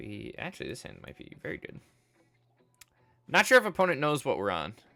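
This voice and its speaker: A man mumbles at a fairly quick pace. His loudness swings widely. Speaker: game streamer. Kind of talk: live gameplay commentary. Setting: live stream. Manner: mumbling.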